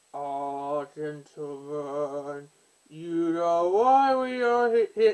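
A put-on character voice at middle pitch drawls along at a very slow pace. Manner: failed attempt, not convincing.

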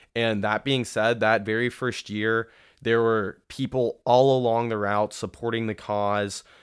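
Speaking at a fairly slow pace, a man with an American accent keeps a medium pitch and a monotone, flat intonation. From Columbus, Ohio. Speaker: medical student. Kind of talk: casual interview.

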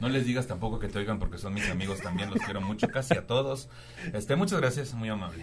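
Noticeable background noise surrounds a man talking at a very fast pace. His intonation is lively. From Tampico, Tamaulipas, Mexico. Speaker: stand-up comedian. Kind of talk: casual chat.

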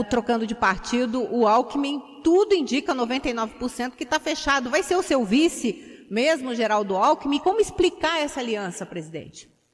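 A woman speaks at a moderate pace with a high pitch and lively intonation. There is noticeable background noise. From Curitiba, Brazil. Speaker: radio journalist. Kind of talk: radio interview. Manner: halting.

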